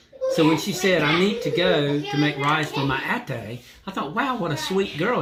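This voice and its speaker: Over noticeable background noise and audible room echo, a man with an American accent speaks at a fairly slow pace in a high pitch, his intonation lively. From US. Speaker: vlogger. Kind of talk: casual chat.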